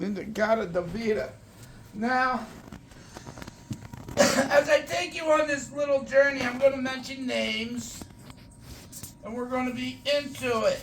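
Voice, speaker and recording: A man's extremely high-pitched speech in a Philadelphia accent, at a fairly slow pace with ordinary pitch variation, big swings in loudness, long, frequent pauses and noticeable background noise. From Philadelphia area, US (Morton, near Upper Darby). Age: 60s. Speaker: record collector. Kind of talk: casual show-and-tell video. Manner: animated.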